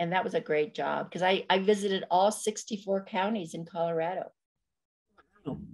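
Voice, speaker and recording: A woman with an American accent at medium pitch, moderate pace and ordinary pitch variation. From New Mexico (Corrales, near Albuquerque). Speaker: retired government official and community leader. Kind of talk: interview.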